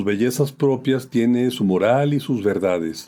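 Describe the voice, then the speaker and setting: Man's dark, mellow tone with lively intonation. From Mexico, Aguascalientes. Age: 70s. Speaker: poet. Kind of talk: autobiographical reflection. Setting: at home. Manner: formal.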